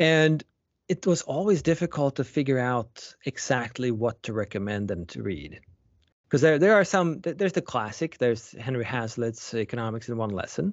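With a Swedish accent, a man speaks at a medium pitch and a moderate pace. His pitch swings very widely. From Sweden. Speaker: economics professor. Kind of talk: interview.

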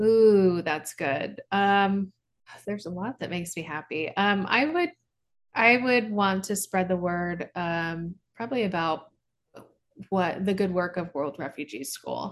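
Fairly slow and at medium pitch, a woman with an American accent speaks in an ordinary speaking voice. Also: ordinary pitch variation. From US Midwest, Kansas and Branson, Missouri. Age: 30s. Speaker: company founder and CEO. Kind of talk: casual chat.

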